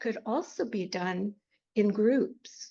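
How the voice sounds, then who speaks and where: Her voice carries vocal fry, and this woman's pitch varies in an ordinary way. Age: 80s+. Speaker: life and grief coach, retired school district worker. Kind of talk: podcast interview answer.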